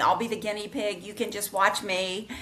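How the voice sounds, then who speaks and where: A woman's medium-pitched voice with audible room echo and noticeable background noise. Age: 60s. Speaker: lifestyle blogger and author. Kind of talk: interview.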